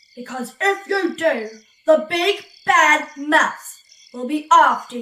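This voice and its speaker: In a put-on character voice, a woman speaks at a high pitch and a very slow pace. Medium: read story.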